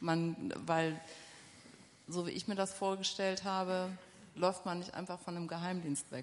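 A fairly slow delivery with long, frequent pauses and fairly even intonation. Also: woman, medium pitch for a woman. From Ruhr area, Essen. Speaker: publisher representative and moderator. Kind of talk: moderated interview. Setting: stage with audience.

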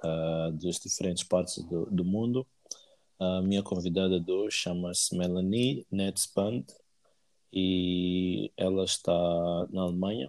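At a fairly slow pace, a man talks with fairly even intonation and a very deep, low pitch. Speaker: podcast host. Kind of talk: casual interview. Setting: call.

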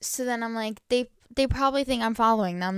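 The speaker talks very fast in an animated tone with ordinary pitch variation. The recording is very clean, with a silent background. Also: woman. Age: young. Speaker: podcast host. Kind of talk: casual monologue. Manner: rambling, animated.

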